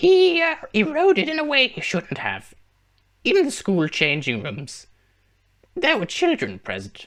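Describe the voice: A man does a put-on character voice at an extremely high pitch, speaking at a fairly slow pace with long, frequent pauses in a very clean recording with a silent background.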